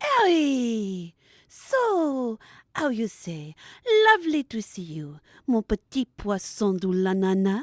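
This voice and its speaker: A put-on character voice from a woman with a French accent, breathy and fairly high in pitch, with very wide pitch swings at a fairly slow pace, dry and close with no echo against a quiet background. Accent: exaggerated French accent with French phrases. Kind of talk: comic overacting. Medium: audio drama. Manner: affected, breathy, peppered with "how you say".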